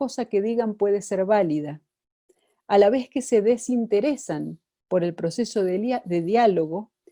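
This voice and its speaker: With an Argentine accent, a woman speaks fairly slowly at a fairly high pitch, her dark, mellow tone and lively intonation heard in a dry, close sound with no echo. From Argentina. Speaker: psychoanalyst and lecturer. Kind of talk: lecture.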